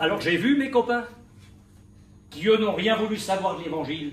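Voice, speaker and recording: A man with lively intonation, heard with audible room echo. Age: 70s. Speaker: pastor. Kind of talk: sermon. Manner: animated.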